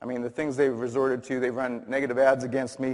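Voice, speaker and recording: Flat and monotone, a man talks in a medium pitch. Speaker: dentist giving a talk. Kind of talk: conference presentation. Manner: loud; halting, many fillers.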